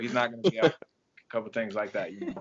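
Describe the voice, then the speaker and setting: A man with an English accent at medium pitch. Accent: English accent, noticeable. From England. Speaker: track and field coach. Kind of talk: podcast interview. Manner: hesitant, many fillers.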